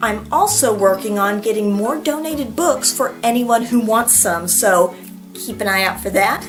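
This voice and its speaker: A woman speaks at a fairly high pitch with ordinary pitch variation. Her pace is fairly slow, with music in the background. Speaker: school librarian. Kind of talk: casual talk to camera. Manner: warm, friendly.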